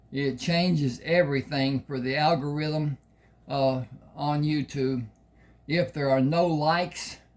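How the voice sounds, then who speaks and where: Speaking very slowly, a man uses a fairly high pitch and fairly even intonation. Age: 80s+. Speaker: author reading his own novel. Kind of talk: reading aloud. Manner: halting.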